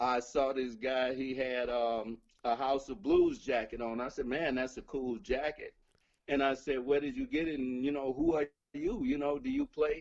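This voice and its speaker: The man's pitch sits fairly high, and his intonation stays fairly even. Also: moderate pace. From Chicago. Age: 60s. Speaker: blues musician. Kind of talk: interview storytelling.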